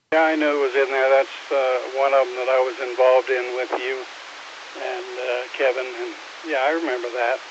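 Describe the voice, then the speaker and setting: A man at a fairly quick pace, monotone and flat in intonation, over noticeable background noise. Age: 70s. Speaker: former emergency communications director, ham radio operator. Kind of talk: radio net conversation.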